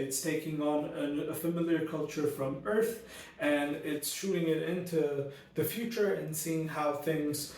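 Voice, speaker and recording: Speaking at a fairly slow pace in an animated tone, a man with a fairly high pitch shows ordinary pitch variation, with audible room echo and noticeable background noise. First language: not Arabic; Arabic learned second in school. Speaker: book reviewer. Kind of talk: casual book review monologue. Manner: animated, frequent fillers and restarts.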